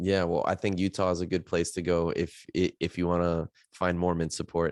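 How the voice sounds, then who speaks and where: With a very deep, low pitch and an American accent, a man speaks at a moderate pace in a monotone, flat intonation at very even loudness. The sound is dry and close with no echo, over a quiet background. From Miami, US. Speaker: podcast host. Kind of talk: podcast interview.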